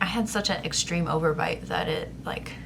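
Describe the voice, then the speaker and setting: Noticeable background noise and audible room echo surround the recording. A woman speaks at a fairly low pitch with ordinary pitch variation. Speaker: vlogger. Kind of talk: casual vlog update. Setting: handheld camera at home. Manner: hesitant, filler-heavy.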